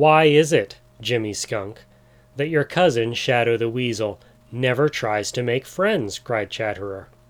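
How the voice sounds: A natural reading voice carries this recording.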